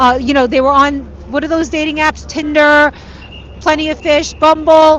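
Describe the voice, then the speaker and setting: Against noticeable background noise, a woman with a New York accent talks at a high pitch and a moderate pace. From New York City, Queens. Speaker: street reporter. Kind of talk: live street reporting. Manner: casual, conversational.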